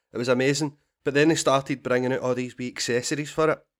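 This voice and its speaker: Heard on a very clean recording with a silent background, a man with a Scottish accent talks at a fairly high pitch with fairly even intonation. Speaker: comedian and podcast guest. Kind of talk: casual, Scottish dialect words, swears freely.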